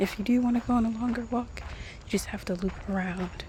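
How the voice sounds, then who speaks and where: A soft-spoken voice over noticeable background noise. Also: woman. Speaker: ASMR creator. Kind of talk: casual talk to camera. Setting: outdoors.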